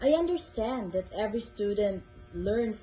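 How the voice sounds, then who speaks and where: The intonation rises and falls in a lively way. There is music behind the speech. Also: woman. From Philippines. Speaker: English tutor. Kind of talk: tutor introduction video. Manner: slow, clear.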